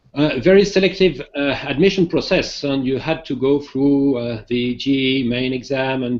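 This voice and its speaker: Here is a man with a French accent. His pitch is medium. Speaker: professor, academic dean. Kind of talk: welcome address. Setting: video call.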